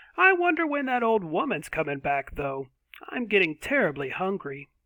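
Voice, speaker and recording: Putting on a character voice, a man talks at a moderate pace in a high pitch with very wide pitch swings. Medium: read story.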